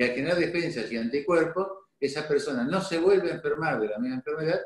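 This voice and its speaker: This man has an unremarkable speaking voice pitched fairly high. He talks at a fairly quick pace with lively intonation. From Argentina, Santa Fe province. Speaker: doctor. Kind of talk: interview.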